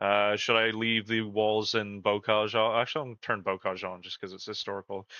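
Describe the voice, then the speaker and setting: Delivered with a Canadian accent in monotone, flat intonation, the speech has hardly any pauses and big swings in loudness. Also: man, fairly low pitch for a man, moderate pace. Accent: Canadian, mistaken for American by chat. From Canada. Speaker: gaming community manager, stream host. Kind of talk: live gameplay stream chat.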